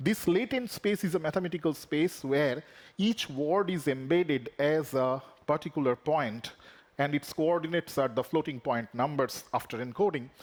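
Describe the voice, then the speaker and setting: A man speaks at a moderate pace with a Bengali accent, his loudness very even throughout. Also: fairly high pitch for a man, lively intonation. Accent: Indian English (Bengali). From India (Bengal). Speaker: professor. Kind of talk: lecture. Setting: conference stage.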